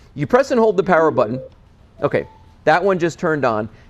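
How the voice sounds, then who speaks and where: A man speaks loudly in an animated tone. His high-pitched voice makes very wide pitch swings. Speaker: TV shopping host. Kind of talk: sales pitch.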